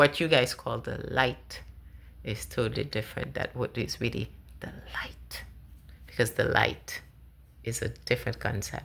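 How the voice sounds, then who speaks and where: Whispering at a fairly slow pace, a woman with a non-native accent leaves long, frequent pauses. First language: not English. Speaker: spiritual vlogger. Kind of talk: personal monologue. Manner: halting.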